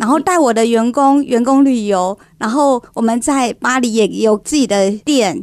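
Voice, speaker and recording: At a fairly slow pace, a woman with a Taiwanese accent speaks in a high pitch with ordinary pitch variation and very even loudness. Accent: Taiwanese Mandarin. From Taiwan, Kaohsiung. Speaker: home decor entrepreneur. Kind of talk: radio interview.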